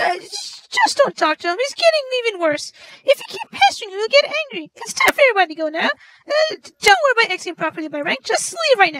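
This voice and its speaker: A woman does a put-on, squeaky character voice at an extremely high pitch, racing along very fast with very wide pitch swings and big jumps in loudness, recorded dry and close with no echo. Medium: stage play. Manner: brisk, commanding.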